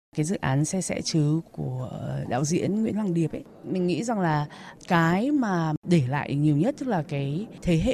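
A normal speaking voice with lively intonation, moving at a moderate pace. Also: woman. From Hanoi, northern Vietnam. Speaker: university teacher. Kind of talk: poetry reading and personal sharing. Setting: outdoors.

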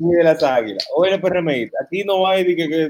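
A speaker with a Dominican accent talks at a moderate pace with ordinary pitch variation. The sound is dry and close, with no echo. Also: man. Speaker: web show host. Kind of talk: casual interview.

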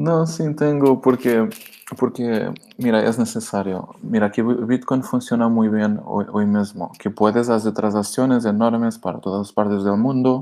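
In a Portuguese accent, a man speaks at a medium pitch with ordinary pitch variation. Noticeable background noise is present. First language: Portuguese (speaking Spanish). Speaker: crypto wallet co-founder. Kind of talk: interview. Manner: halting.

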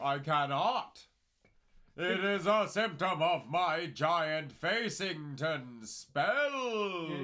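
A man shouts in a put-on character voice pitched high. He draws the words out at a very slow pace. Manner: shouting.

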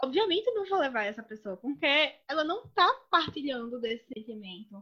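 A woman with a Pernambuco accent speaks at a high pitch in a bright, sharp tone, with very wide pitch swings and big swings in loudness. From Brazil, Pernambuco (sertão). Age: 30s. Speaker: lawyer and master's student. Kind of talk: casual chat. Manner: animated.

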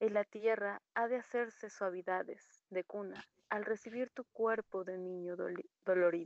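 In a dry, close sound with no echo, a woman with a plain, everyday voice speaks fairly slowly at a medium pitch with fairly even intonation. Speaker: poetry reader. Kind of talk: poetry reading. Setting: video call.

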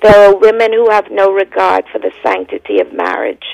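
A woman with a Bahamian accent speaks in a solemn tone. The sound is dry and close, with no echo. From the Bahamas. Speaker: evangelist. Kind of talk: fervent prayer. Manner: impassioned, declamatory; solemn, rhythmic.

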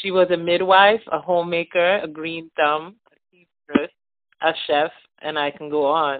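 In a normal speaking voice, a woman speaks at a fairly slow pace with a fairly low pitch and fairly even intonation. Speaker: storyteller sharing a holiday memory. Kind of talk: reading aloud a written memoir.

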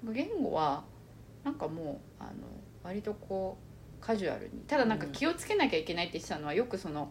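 Speaking at a very fast pace broken by long, frequent pauses, a woman uses a medium pitch with very wide pitch swings and vocal fry. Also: big swings in loudness. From Japan, born in China and moved young. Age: 30s. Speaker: podcast co-host. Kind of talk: casual chat. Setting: recording in person together.

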